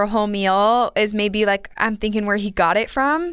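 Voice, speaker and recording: The pace here is moderate. It's an unremarkable speaking voice. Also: woman. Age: 20s. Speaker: podcast co-host. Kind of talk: casual chat. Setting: studio.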